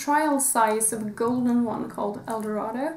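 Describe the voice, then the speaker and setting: Through audible room echo and noticeable background noise, a woman with a high pitch speaks at a moderate pace, with ordinary pitch variation. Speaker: beauty YouTuber. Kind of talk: product review vlog. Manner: hesitant, many fillers.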